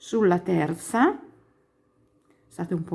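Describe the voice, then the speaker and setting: Very slow delivery with lively intonation sits on a very clean recording with a silent background. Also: woman. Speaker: crochet teacher. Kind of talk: tutorial.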